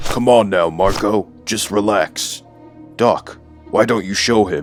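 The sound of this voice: A man puts on a cartoonish character voice, with a Malaysian-free delivery at a fairly low pitch and a fairly slow pace. Clear music plays in the background.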